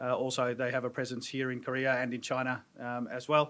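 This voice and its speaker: At a fairly quick pace, a man speaks in an Australian accent. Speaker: pharma business advisor. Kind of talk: seminar presentation. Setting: stage with audience. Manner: hesitant.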